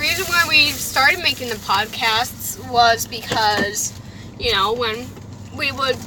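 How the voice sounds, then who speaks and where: A woman talks in a high pitch with lively intonation. Her pace is fairly slow, and background noise is noticeable. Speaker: podcast co-host, channel owner. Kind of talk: casual chat. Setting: in a car, driving.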